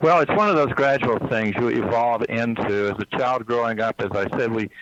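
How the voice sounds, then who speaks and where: A man with an American accent, medium pitch and ordinary pitch variation, at a moderate pace over noticeable background noise. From US South, East Texas. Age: 60s. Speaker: psychic healer. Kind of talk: interview. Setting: phone call. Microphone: cell phone line.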